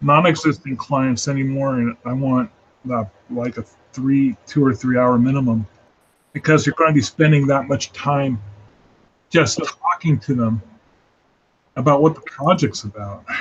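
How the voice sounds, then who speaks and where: This man's fairly high, somewhat breathy voice moves at a moderate pace with ordinary pitch variation and long, frequent pauses. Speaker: freelance illustrator hosting a live sketch hangout. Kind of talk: casual chat.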